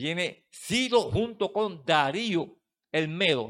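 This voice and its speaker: A man's animated delivery comes through on a very clean recording, the background completely silent. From Puerto Rico, Mata de Plátano. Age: old. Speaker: Bible teacher. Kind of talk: Bible study lecture.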